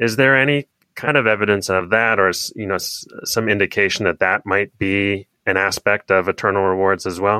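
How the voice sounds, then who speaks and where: At a moderate pace, this is a normal speaking voice with fairly even intonation. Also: man, fairly low pitch for a man. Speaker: podcast host. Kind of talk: interview.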